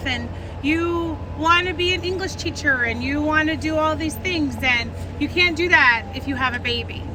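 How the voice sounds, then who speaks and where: With music in the background and audible room echo, the speaker uses an animated tone at a moderate pace. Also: woman. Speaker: rally speaker. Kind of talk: personal testimony speech. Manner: loud.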